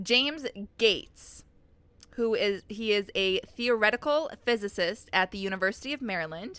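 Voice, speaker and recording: A loud voice with a bright, sharp tone, ordinary pitch variation and a moderate pace. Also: woman, fairly high pitch for a woman. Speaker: podcast host. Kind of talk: casual chat.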